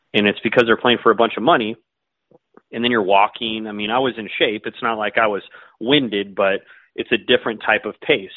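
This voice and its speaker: Speaking in an ordinary speaking voice, a man keeps a medium pitch, fairly even intonation and a fairly quick pace. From US West Coast, San Diego. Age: 40s. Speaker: golf pro. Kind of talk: casual chat.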